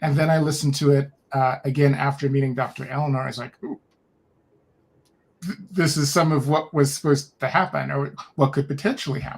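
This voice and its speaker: A man's somewhat breathy, fairly high-pitched voice, fairly quick in pace, with fairly even intonation. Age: 60s. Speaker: podcast guest, human design practitioner. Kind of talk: casual conversation.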